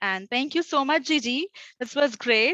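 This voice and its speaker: Her tone is bright and sharp. The woman speaks at a fairly quick pace in a dry, close sound with no echo. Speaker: intellectual property consultant. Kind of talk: conference talk. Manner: fast.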